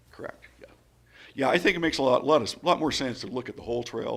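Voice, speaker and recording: A man's voice with lively intonation. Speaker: county staff member presenting to commissioners. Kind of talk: public meeting presentation. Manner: hesitant, many fillers.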